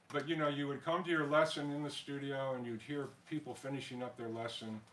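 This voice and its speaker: A man speaks at a fairly quick pace with an American accent. Noticeable background noise runs behind him. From US, Colorado (Denver area) from childhood. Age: 70s. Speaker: pianist. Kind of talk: spoken concert introduction. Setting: home concert with small audience, streamed online. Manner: hesitant, many fillers and repetitions.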